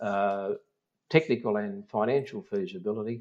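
This man speaks at a moderate pace in an Australian accent, with a medium pitch and ordinary pitch variation. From South Australia, the Mallee. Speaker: mining company executive. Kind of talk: interview. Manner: halting.

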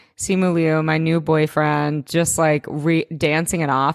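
An animated speaker talks fairly slowly in a very clean recording with a silent background. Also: woman. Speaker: podcast co-host. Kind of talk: casual chat. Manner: loud.

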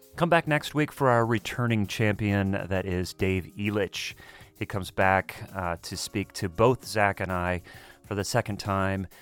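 A man with an American accent and an unremarkable speaking voice talks at a fairly slow pace, his fairly low pitch showing ordinary variation. The recording is very clean with a silent background and a dry, close sound with no echo. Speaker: podcast host, drummer. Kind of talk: casual interview chat.

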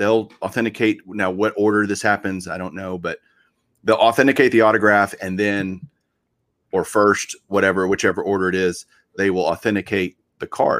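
The man has a normal speaking voice pitched fairly low. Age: 40s. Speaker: podcast host. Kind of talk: casual chat.

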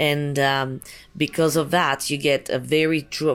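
A French accent at a moderate pace on a very clean recording with a silent background. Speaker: winery owner. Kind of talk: interview. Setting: winery. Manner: halting.

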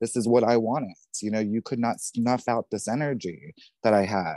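A man with a dark, mellow tone talks at a moderate pace.

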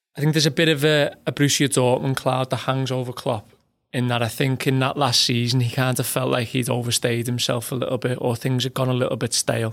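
Medium-pitched male speech with a Liverpool accent, fairly even intonation and a fairly quick pace, on a very clean recording with a silent background. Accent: Scouse. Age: 30s. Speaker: football journalist. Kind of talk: casual chat.

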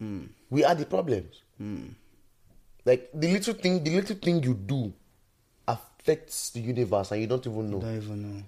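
With very wide pitch swings, a man at medium pitch speaks in a dark, mellow tone, leaving long, frequent pauses. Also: moderate pace. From Nigeria. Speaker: musician. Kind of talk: casual chat.

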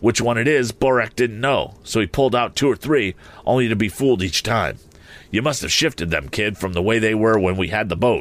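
In a put-on character voice, a man speaks raspy and fairly quick, at a medium pitch with ordinary pitch variation and very even loudness. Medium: read story. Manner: rough, blustering.

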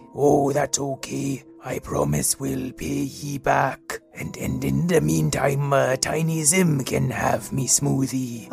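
Over clear music in the background, a man puts on a character voice. He speaks at a medium pitch and a very slow pace.

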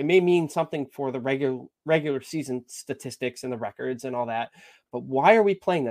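Very clean, with a silent background and a dry, close sound with no echo, the recording captures a man with an American accent and a plain, everyday voice, speaking at a fairly quick pace with a fairly high pitch and ordinary pitch variation. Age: 30s. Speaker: amateur hockey goalie. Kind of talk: casual chat.

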